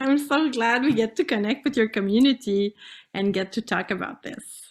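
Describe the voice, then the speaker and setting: Speaking at a moderate pace with a French-Canadian accent, a woman has a fairly high pitch and ordinary pitch variation. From Canada, French-speaking. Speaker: pelvic floor specialist. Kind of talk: interview. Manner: halting.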